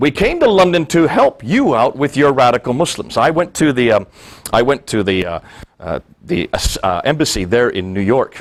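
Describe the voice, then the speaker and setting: A man speaks with an American accent and vocal fry. His pitch swings very widely. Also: fairly high pitch for a man, moderate pace. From India (American missionary school in the Himalayas). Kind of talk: talk to an audience.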